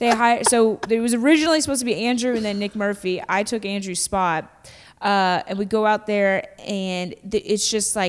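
Over a silent background in a very clean recording, a woman with an American accent and a normal speaking voice talks at a moderate pace with hardly any pauses, a fairly high pitch and ordinary pitch variation. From Kentucky, US South. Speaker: stand-up comedian. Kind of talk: casual chat.

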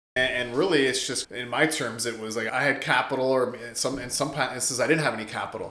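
A man speaks at a medium pitch and a very fast pace. He leaves hardly any pauses, and noticeable background noise is present. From Canada, Windsor-Essex, Ontario. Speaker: real estate investor and realtor. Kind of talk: podcast interview. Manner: casual, animated.

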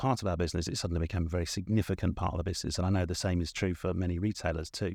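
Over a quiet background, a man with an English accent speaks very fast in a very deep, low pitch, his tone dark and mellow and his intonation fairly even. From southern England. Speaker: corporate marketing executive. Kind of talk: interview conversation.

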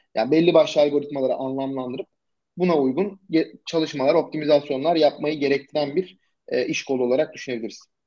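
A man talks at a fairly quick pace with ordinary pitch variation. He has a normal speaking voice. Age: 20s. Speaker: SEO agency founder. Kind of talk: casual interview.

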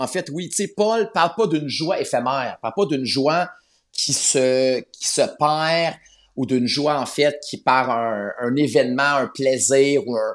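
Speech at a very slow pace carries lively intonation in a very clean recording with a silent background. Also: man, fairly high pitch for a man. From Quebec, north shore of Montreal. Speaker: Bible narrator. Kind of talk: interview. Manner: halting, frequent repetitions.

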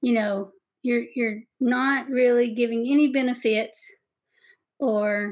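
A woman with a Kentucky accent, fairly high-pitched, in a monotone with flat intonation, over a quiet background. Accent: Southeast Kentucky. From Southeast Kentucky. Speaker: sales podcast host and coach. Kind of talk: interview, casual advice chat. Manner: warm, friendly.

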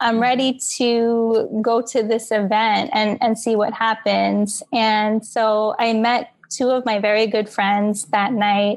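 With an ordinary speaking voice, a woman in an American accent speaks at a fairly high pitch with fairly even intonation. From New York, Queens. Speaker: dancer and author. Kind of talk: interview.

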